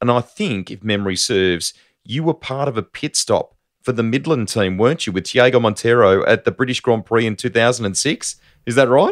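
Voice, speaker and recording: Over a quiet background, a man with an Australian accent speaks at a medium pitch and moderate pace, his pitch varying in an ordinary way. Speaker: motorsport podcast host; podcast host. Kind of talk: interview with scripted intro. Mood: warm, smiling. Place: home room. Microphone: studio mic.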